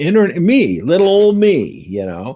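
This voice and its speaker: A man is speaking. His pitch swings very widely. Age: 70s. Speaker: tarot reader and astrologer. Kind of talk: interview conversation. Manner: halting, many fillers and restarts.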